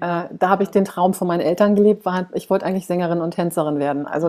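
A woman with ordinary pitch variation. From Germany. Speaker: face yoga coach, author. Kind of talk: interview, personal storytelling.

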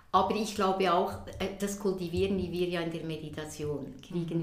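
Audible room echo surrounds a woman's voice. She speaks at a fairly low pitch with fairly even intonation. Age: 60s. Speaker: Zen teacher. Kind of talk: interview conversation. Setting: conservatory at her home. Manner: hesitant, many fillers.

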